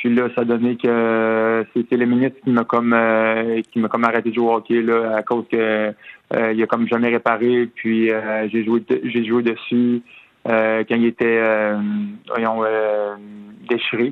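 A man's medium-pitched voice at a fairly slow pace, monotone and flat, very even in loudness, with long, frequent pauses. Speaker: retired hockey player. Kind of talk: phone interview. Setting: phone call. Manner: halting, many repetitions.

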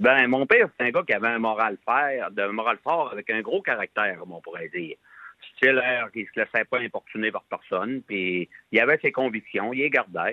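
Man with a normal speaking voice, medium pitch and ordinary pitch variation, at a moderate pace. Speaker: farmer. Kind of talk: phone interview.

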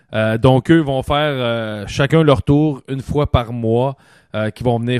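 With a Quebec accent, a man speaks at a fairly slow pace and a medium pitch, with ordinary pitch variation, in a dry, close sound with no echo over a quiet background. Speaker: podcast host and former hockey player. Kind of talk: casual chat. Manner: animated.

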